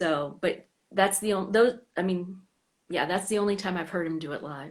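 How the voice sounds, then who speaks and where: A woman has an unremarkable speaking voice at medium pitch. Her pitch varies in an ordinary way and her pace is moderate. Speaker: fan club host. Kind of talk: casual chat. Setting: Instagram live stream.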